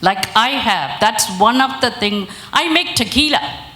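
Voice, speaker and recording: A woman talks at a medium pitch. Noticeable background noise and audible room echo are present. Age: 60s. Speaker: business owner. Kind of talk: audience comment at a conference.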